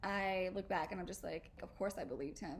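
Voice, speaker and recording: A woman talks fairly quickly with ordinary pitch variation. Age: 30s. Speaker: podcast host. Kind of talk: casual solo podcast monologue. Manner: animated, playful, sassy.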